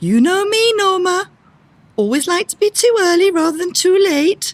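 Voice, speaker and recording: A squeaky, put-on character voice goes at a moderate pace, with a dry, close sound and no echo. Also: woman, extremely high pitch for a woman. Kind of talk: amateur stage comedy. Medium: stage play. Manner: brisk, prim, officious.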